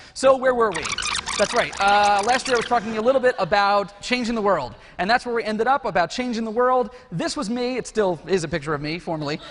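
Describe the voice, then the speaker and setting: Over noticeable background noise, a man talks at a very fast pace. His voice is high-pitched with lively intonation. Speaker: conference speaker; educational technologist. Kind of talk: conference talk; casual chat. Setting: stage with audience.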